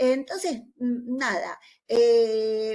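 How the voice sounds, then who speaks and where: A woman's high voice, with ordinary pitch variation, unfolds at a very slow pace. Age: 60s. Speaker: nursing teacher. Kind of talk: conference discussion remarks. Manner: halting, many fillers; conversational.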